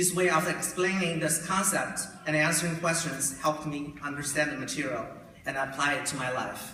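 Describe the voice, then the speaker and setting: A man talks at a moderate pace with a fairly high pitch and fairly even intonation. The recording has audible room echo and noticeable background noise. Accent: Chinese. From China. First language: Chinese. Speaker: graduating student. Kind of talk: graduation speech. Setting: podium at graduation ceremony.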